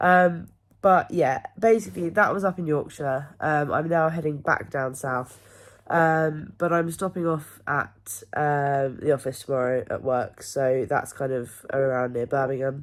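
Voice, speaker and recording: A woman with an English accent speaks at a fairly slow pace in a very deep, low voice with ordinary pitch variation. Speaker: amateur triathlete vlogger. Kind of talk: personal video diary. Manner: casual, hesitant with many ums.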